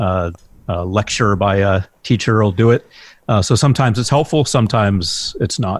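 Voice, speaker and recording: Here is a man with a plain, everyday voice. He talks at a moderate pace in a fairly low pitch. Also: ordinary pitch variation. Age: 50s. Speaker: hypnotherapist. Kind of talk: interview.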